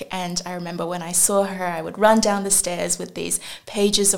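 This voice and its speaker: In an Australian accent, a woman talks at a moderate pace. Her pitch is medium and her intonation monotone and flat. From China (Shenzhen) until age six, then Australia. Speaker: venture capital investor. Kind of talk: podcast interview.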